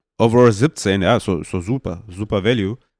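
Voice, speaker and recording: Recorded very cleanly against a silent background, a man's medium-pitched voice sounds dry and close, with no echo. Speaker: fantasy football podcast host. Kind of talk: casual solo podcast talk.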